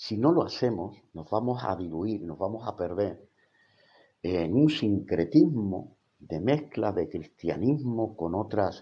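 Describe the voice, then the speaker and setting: A man speaks at a very slow pace, his pitch fairly low. His intonation is lively and his loudness swings widely. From Spain. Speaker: theology college rector and evangelical teacher. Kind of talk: livestream Bible teaching. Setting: live stream on social media. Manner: hesitant, many fillers.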